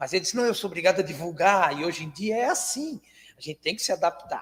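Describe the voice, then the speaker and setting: The speaker is a man with a high pitch. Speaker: spiritist lecturer. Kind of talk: lecture. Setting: spiritist centre hall with audience, livestreamed. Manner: soft-spoken.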